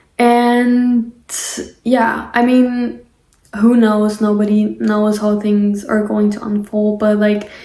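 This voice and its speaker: A woman with a non-native accent speaks at a very slow pace and a fairly high pitch. Her dark, mellow tone is somewhat breathy, and her intonation is monotone and flat. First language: not English. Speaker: spiritual podcaster. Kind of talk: casual monologue. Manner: halting.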